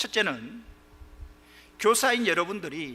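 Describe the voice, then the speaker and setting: Raising and projecting his voice, a man speaks at a high pitch with very wide pitch swings. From Gyeongsang region, South Korea. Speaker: pastor. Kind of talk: sermon.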